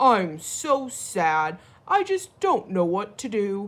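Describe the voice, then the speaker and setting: Using a put-on character voice, a woman speaks very slowly at a medium pitch. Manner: sad.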